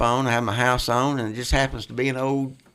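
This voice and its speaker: The speaker has a West Tennessee accent. The pace is fairly quick. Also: man. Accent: US Southern (West Tennessee). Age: 60s. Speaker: music venue owner and guitarist. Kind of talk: casual chat.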